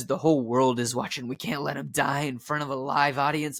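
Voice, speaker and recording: In a put-on character voice, the speaker sounds raspy at a low-to-middle pitch, moving at a fairly quick pace over light background noise. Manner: urgent.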